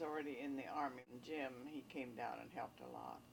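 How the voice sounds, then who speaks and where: With vocal fry and a very deep, low pitch, a woman speaks at a moderate pace in a fairly even intonation. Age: 80s+. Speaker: family member recounting memories. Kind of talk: casual reminiscing interview.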